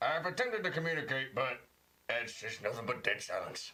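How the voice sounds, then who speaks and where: A man puts on a character voice at a high pitch. He talks at a fairly quick pace. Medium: actual play. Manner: formal, clipped.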